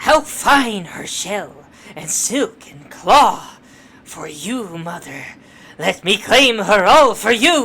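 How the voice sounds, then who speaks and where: This put-on character voice is fairly high in pitch and delivered at a very slow pace. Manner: theatrical, grandiose.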